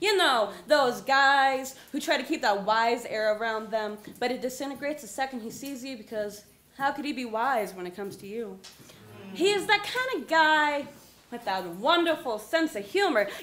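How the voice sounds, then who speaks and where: Against noticeable background noise, a woman with an American accent speaks at a moderate pace, her high-pitched voice showing lively intonation and big swings in loudness. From Colorado. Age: young. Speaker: slam poet. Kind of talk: slam poetry performance.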